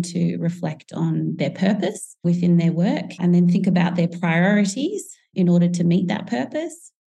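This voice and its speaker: A woman with an Australian accent has a dark, mellow, somewhat breathy tone and a fairly low pitch. She speaks at a moderate pace with fairly even intonation. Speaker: teacher and author. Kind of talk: interview.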